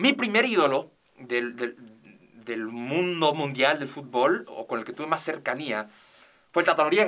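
A man with a fairly high pitch and a bright, sharp tone talks at a fairly slow pace with lively intonation. His loudness swings widely, and he takes long, frequent pauses. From northern Mexico, Ciudad Juárez. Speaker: sports commentator. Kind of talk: casual chat. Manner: halting.

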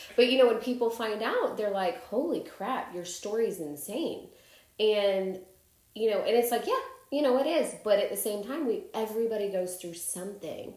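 A woman with an American accent speaks at a moderate pace with ordinary pitch variation, with noticeable background noise and audible room echo. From Chicago. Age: 30s. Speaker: podcast host. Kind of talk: casual interview chat.

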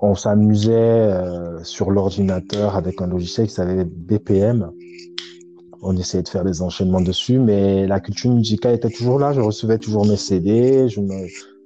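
Over noticeable background noise, a man with fairly low pitch talks at a fairly slow pace with ordinary pitch variation. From Cameroon, Douala. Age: 30s. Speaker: DJ. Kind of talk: casual chat.

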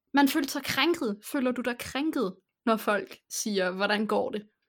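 A woman talks in an ordinary speaking voice, fairly high in pitch and with ordinary pitch variation, on a very clean recording with a silent background. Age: 20s. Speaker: podcast host. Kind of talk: casual chat.

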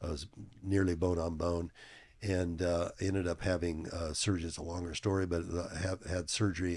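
A man with a very deep, low pitch and a somewhat breathy voice talks at a moderate pace with fairly even intonation, in a very clean recording with a silent background. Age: 70s. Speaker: fitness equipment company executive and powerlifter. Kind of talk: casual interview. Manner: hesitant, many filler words.

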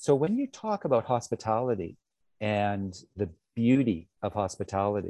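A man speaks with a western Canadian accent and a dark, mellow tone. His pitch is fairly low with ordinary variation, and his pace is moderate. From Canada, British Columbia. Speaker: luxury hotel manager. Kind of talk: interview. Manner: halting, with many repetitions.

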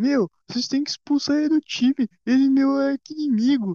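A female-sounding put-on character voice speaks at a high pitch. The pace is moderate.

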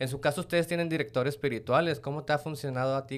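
With a Mexican accent, a man talks at a very fast pace. His pitch is medium, with ordinary variation. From Mexico. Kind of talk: casual interview.

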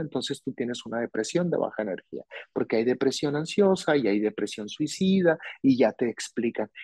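A man with an ordinary speaking voice talks at a medium pitch with lively intonation. The sound is dry and close with no echo, over a quiet background. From Mexico, Hermosillo, Sonora. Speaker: psychologist. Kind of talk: interview on mental health. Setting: remote recording, host in another city.

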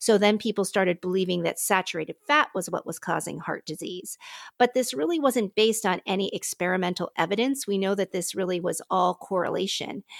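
At a fairly quick pace, a woman with an American accent has an unremarkable speaking voice, a medium pitch and ordinary pitch variation. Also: dry, close sound with no echo. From US, Pittsburgh. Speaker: physician. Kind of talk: interview conversation. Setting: remote call from her living room.

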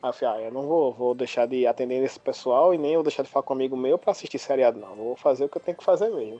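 The speech is very fast, with big swings in loudness and ordinary pitch variation. Music plays in the background. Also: man, medium pitch for a man, hardly any pauses. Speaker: podcast co-host. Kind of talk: casual chat.

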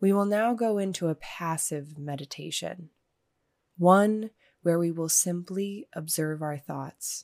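A woman's fairly low, fairly slow, normal speaking voice with ordinary pitch variation, in a dry, close sound with no echo and a very clean recording with a silent background. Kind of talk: guided meditation. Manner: slow, calm, soothing; gentle, measured, with long pauses.

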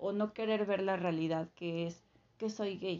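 A woman speaks at a fairly slow pace. Her pitch sits in the middle range, and her intonation stays fairly even. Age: 20s. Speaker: guest sharing personal story. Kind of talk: testimony. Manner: halting, with fillers.

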